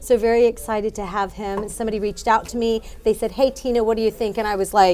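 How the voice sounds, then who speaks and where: Speaking at a very fast pace, a woman with a fairly high pitch and a dark, mellow tone keeps a monotone, flat intonation. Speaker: TV show host, Army veteran. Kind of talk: interview show introduction.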